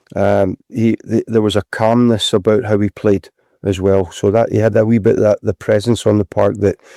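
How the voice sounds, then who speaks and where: A man's dark, mellow, fairly low voice, monotone and flat, at a moderate pace and very even loudness, in a dry, close, very clean recording with no echo and a silent background. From Scotland, North Lanarkshire mining village. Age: 60s. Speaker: retired footballer. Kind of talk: casual interview. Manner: halting, repeats words.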